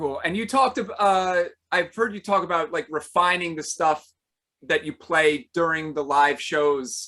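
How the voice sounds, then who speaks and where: Loud and bright, with a sharp tone, a man with a high pitch talks at a fairly slow pace with ordinary pitch variation. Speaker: podcast host. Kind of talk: casual interview.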